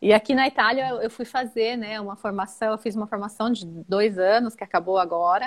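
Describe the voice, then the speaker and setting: At a moderate pace, a woman talks in an unremarkable speaking voice, fairly high in pitch, with ordinary pitch variation. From Brazil, São Paulo. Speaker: perinatal family support worker. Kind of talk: casual interview.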